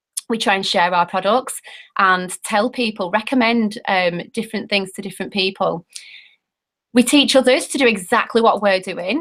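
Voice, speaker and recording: At a moderate pace, a woman with a British accent speaks at a fairly high pitch with ordinary pitch variation. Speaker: network marketing presenter. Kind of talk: sales pitch. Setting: video call. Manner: animated.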